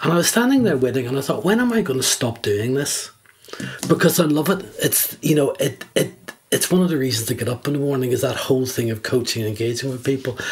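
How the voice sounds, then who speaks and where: Noticeable background noise sits behind a man speaking at a very fast pace. His pitch is medium, with ordinary variation. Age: 70s. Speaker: executive coach. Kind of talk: podcast interview.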